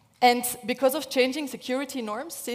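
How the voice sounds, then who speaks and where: A woman talks with a high pitch. Her pace is fairly quick. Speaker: engineering professor. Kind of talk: lecture. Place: hall. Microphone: headset.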